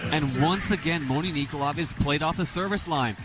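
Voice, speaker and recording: The speech moves at a fairly quick pace with ordinary pitch variation, and music plays in the background. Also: man. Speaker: color commentator. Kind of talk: radio sports color commentary.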